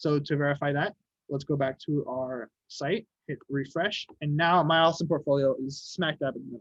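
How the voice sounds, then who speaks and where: This man's fairly high voice carries fairly even intonation in a dry, close sound with no echo. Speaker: web development workshop instructor. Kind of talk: tutorial. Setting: video call. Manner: fast.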